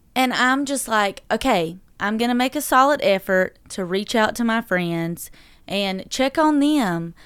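A woman with a Southern US accent talks at a fairly slow pace, her fairly high pitch carried by lively intonation. The recording is very clean, with a silent background. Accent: southern drawl. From North Carolina, Dublin. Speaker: entrepreneur and mother. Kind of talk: casual interview. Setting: studio.

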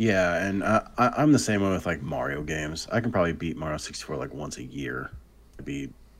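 Very deep and low-pitched, a man's voice carries vocal fry and lively intonation at a fairly quick pace. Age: 30s. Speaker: podcast co-host, gamer. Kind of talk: casual chat.

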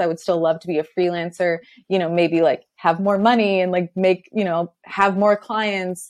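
A plain, everyday voice at a moderate pace over a quiet background. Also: woman. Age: 30s. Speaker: freelance designer and business owner. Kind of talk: casual interview chat.

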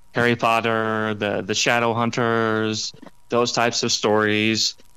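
A man with an American accent at a fairly slow pace, bright, sharp tone, very clean recording with a silent background. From US Midwest. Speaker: author and former newspaper reporter. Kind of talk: casual interview.

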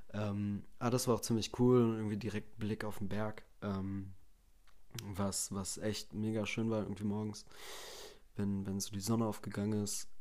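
A man speaks with a dark, mellow tone at a fairly low pitch, his intonation monotone and flat. Audible room echo surrounds his voice. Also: moderate pace. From Germany, Bielefeld (Westphalia). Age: 20s. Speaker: podcast host, trained chef. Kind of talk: casual solo monologue. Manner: unscripted, many filler sounds.

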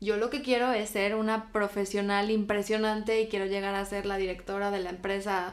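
At a moderate pace, a woman speaks with a medium pitch and a monotone, flat intonation. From Spain. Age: 20s. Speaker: guest. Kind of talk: casual chat.

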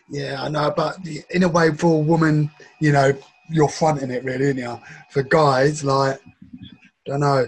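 Speaking with an English accent, a man uses a fairly high pitch at a moderate pace. Long pauses come often. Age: 40s. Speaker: podcast co-host. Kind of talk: casual chat reacting to videos. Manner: animated, laughing.

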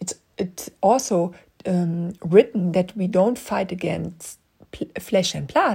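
Speaking very slowly with a non-native accent, a woman uses a medium pitch and a dark, mellow tone touched by vocal fry. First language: not English. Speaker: podcast Bible teacher. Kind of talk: teaching monologue. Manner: halting.

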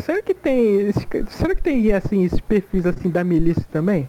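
There is noticeable background noise but a dry, close sound with no echo as a man talks at a fairly quick pace, his pitch swinging very widely while his loudness stays very even. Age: 20s. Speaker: podcast co-host. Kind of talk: casual chat.

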